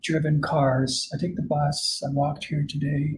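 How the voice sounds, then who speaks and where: Somewhat breathy and fairly high-pitched, a man with a Canadian accent speaks at a fairly slow pace. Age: 60s. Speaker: climate scientist. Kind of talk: conference Q&A.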